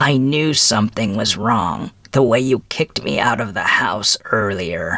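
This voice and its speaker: A man talks at a moderate pace with hardly any pauses. His pitch sits at a medium level. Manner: matter-of-fact.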